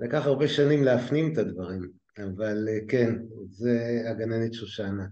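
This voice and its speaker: The man's voice has a dark, mellow tone and a medium pitch. He speaks at a fairly slow pace with ordinary pitch variation. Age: 60s. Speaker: lecturer in education management, former scientist. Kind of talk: interview conversation.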